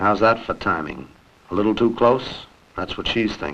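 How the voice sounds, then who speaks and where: In a normal speaking voice, a man with an American accent talks at a moderate pace, his fairly low pitch showing ordinary variation. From United States. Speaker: TV host and journalist. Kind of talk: TV documentary narration. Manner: wry, conversational.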